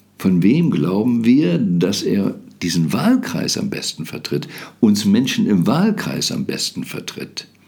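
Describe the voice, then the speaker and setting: Noticeable background noise surrounds a man who talks very slowly. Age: 70s. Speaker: podcast host. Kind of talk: monologue.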